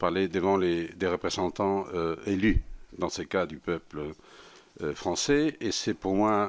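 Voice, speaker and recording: A man's very deep, low voice in a Spanish accent with ordinary pitch variation at a very slow pace, on a very clean recording with a silent background. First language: Spanish (speaking French). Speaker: senior EU official. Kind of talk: formal testimony to parliament. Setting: parliamentary committee hearing. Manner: halting, many hesitations.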